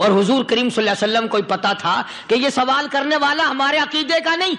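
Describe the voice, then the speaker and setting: Raised and projected, a man's extremely high voice carries lively intonation at very even loudness over noticeable background noise. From Pakistan. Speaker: Islamic preacher. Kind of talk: religious sermon.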